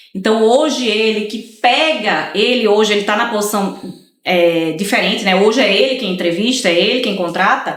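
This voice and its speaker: Amid audible room echo, a woman speaks at a moderate pace in a fairly high voice with ordinary pitch variation. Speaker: lawyer. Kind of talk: casual chat.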